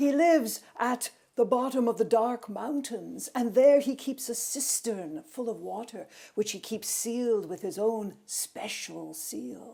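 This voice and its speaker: A put-on character voice, female-sounding and fairly high in pitch, with hissing and growling. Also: fairly slow pace. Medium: read story. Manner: snarling, hissing.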